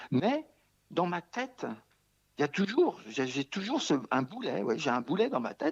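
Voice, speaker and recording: Against a quiet background, a man with a high pitch speaks in very wide pitch swings, the sound dry and close with no echo. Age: 60s. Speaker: hunger striker. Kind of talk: interview. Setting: remote interview from home. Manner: halting, repetitive.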